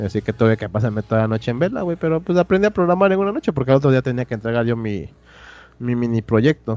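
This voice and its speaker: This man talks very fast at a medium pitch, his voice swinging very widely in pitch. The sound is dry and close, with no echo. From Mexico, Oaxaca. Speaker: tech podcast co-host, software developer. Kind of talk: casual chat.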